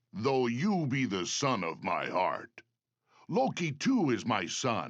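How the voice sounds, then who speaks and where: At a fairly slow pace, a man performs a cartoonish character voice at a medium pitch. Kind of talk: archaic royal speech.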